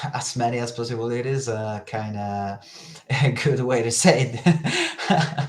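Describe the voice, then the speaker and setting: Speaking at a fairly slow pace, a man with a Spanish accent uses a medium pitch. Room echo is audible in the recording. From northern Spain. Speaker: telekinesis practitioner and teacher. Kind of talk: casual interview. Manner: halting, searching for words.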